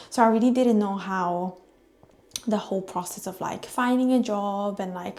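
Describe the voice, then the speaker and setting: A woman talks at a medium pitch and moderate pace in an Italian accent. Her tone is dark and mellow, with fairly even intonation. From Italy. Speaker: vlogger. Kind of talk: casual vlog talk to camera. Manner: casual with fillers.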